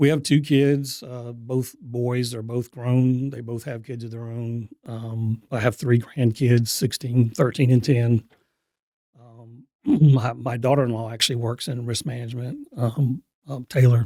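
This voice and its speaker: At a fairly slow pace, a man speaks with a dark, mellow tone at medium pitch, in a monotone, flat intonation with big swings in loudness. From military childhood, teen years in Augusta, Georgia. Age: 60s. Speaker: EMS chief. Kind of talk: podcast interview. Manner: hesitant, many fillers.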